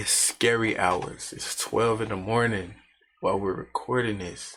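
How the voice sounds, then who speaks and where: At a fairly slow pace, a man speaks with medium pitch and fairly even intonation. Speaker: YouTube reaction host. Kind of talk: casual video intro. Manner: whispering, quiet.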